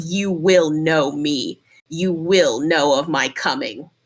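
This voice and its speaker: A put-on character voice at a middle pitch, delivered at a very slow pace. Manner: ominous, commanding.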